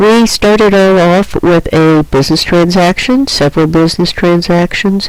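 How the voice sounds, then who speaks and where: With noticeable background noise behind her, a woman speaks at a fairly low pitch with ordinary pitch variation. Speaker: accounting teacher. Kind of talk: lecture. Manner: hesitant with fillers.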